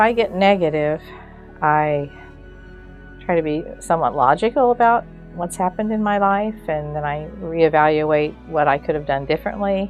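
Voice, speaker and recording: Over music in the background, a woman with a very deep, low pitch speaks at a moderate pace. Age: old. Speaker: retired educator. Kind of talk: interview answer.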